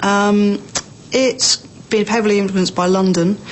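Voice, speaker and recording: A woman's medium-pitched voice in an Estuary English accent, monotone and flat in intonation, with noticeable background noise. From southern England, Berkshire. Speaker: accent sample speaker. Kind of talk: informal monologue about own accent.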